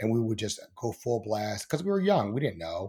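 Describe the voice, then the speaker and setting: Speaking very fast in an American accent, a man with a medium pitch sounds somewhat breathy on a very clean recording with a silent background. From Baltimore, Maryland; raised partly in Ohio and Dallas, Texas. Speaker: podcast host and producer. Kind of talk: casual interview.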